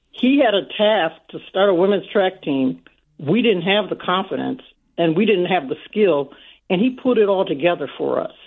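At a moderate pace, a woman talks in a normal speaking voice with an American accent. Her intonation is lively. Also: medium pitch for a woman. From Saint Paul, Minnesota. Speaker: caller. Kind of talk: radio call-in. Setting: phone call.

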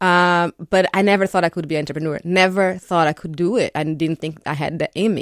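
In a very clean recording with a silent background and a dry, close sound with no echo, a woman with a Portuguese accent speaks at a fairly quick pace and fairly low pitch with fairly even intonation. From Brazil, São Paulo. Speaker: architect. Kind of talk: radio interview. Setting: radio studio.

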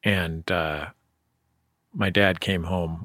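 This man has a very deep, low pitch and an American accent. His tone is bright and sharp, and his intonation is monotone and flat. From San Francisco, US. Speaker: radio host. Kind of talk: interview; scripted narration. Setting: remote interview.

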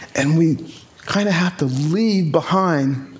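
Speaking with lively intonation, a man talks in an American accent. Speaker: environmental activist. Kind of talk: interview.

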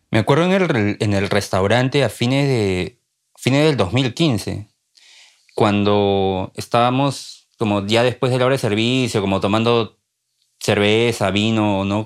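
Speech comes at a fairly slow rate, and the pitch varies in an ordinary way. Behind it, all is silent, and the recording is very clean. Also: man, medium pitch for a man. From Peru, Lima. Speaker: journalist and writer. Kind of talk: interview. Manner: halting, repeats words.

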